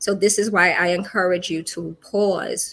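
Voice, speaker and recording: This woman speaks at medium pitch with fairly even intonation. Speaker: wellness talk host. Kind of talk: motivational livestream talk. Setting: live online broadcast. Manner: calm, reflective.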